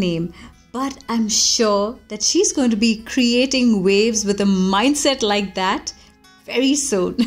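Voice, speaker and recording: A woman speaks in an upbeat tone at a fairly slow pace, with music playing in the background. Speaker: voice artist. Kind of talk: podcast commentary. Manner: upbeat, positive.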